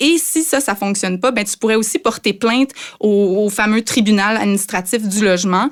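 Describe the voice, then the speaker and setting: An ordinary speaking voice from a woman, fairly high in pitch with ordinary pitch variation, at a moderate pace on a very clean recording with a silent background. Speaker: consumer affairs journalist. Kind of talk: podcast explainer.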